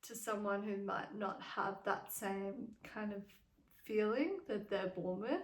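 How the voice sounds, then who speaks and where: In audible room echo, a woman speaks in a bright, sharp tone at a fairly high pitch. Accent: Australian. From Australia. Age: 20s. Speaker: vlogger. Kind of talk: casual chat. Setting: at home in a cabin. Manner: casual, with many fillers like um.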